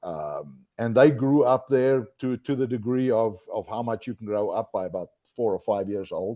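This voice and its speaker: A man with a South African accent and a dark, mellow tone speaks at a medium pitch and a moderate pace with ordinary pitch variation, the sound dry and close with no echo against a quiet background. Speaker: outdoor industry executive. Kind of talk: podcast interview. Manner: hesitant, many fillers and repeated words.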